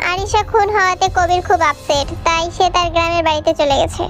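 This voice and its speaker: A woman does a cartoonish character voice at an extremely high pitch, speaking fairly quickly with very even loudness against clear background noise. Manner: haughty, defensive.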